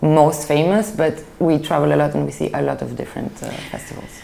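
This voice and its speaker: There is noticeable background noise as a woman speaks in a French accent. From Belgium (Brussels), Greek family. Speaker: film critic. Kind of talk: interview.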